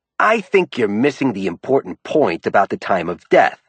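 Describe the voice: A man's put-on character voice, growling, medium in pitch, at a moderate pace with very wide pitch swings.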